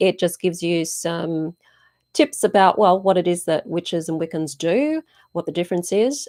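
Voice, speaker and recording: A fairly low-pitched woman's voice in an Australian accent, with ordinary pitch variation, a dry, close sound with no echo, and a very clean recording against a silent background. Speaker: witchcraft teacher and channel host. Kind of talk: live stream Q&A. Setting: YouTube live stream.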